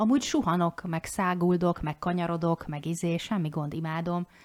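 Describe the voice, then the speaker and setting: A woman with an unremarkable speaking voice talks fairly quickly. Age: 40s. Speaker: podcast co-host, life coach. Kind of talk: casual chat.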